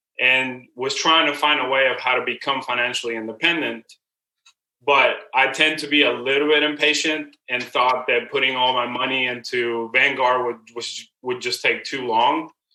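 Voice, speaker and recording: The intonation is monotone and flat. The pace is moderate. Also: man, medium pitch for a man. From Venezuela. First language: Spanish. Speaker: real estate agent and investor. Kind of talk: podcast interview. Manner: hesitant, many fillers.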